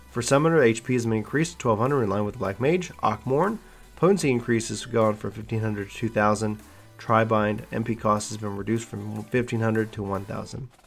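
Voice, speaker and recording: Over music in the background, a man with a medium pitch talks at a fairly quick pace. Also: ordinary pitch variation. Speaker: gaming channel host. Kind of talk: patch notes reading.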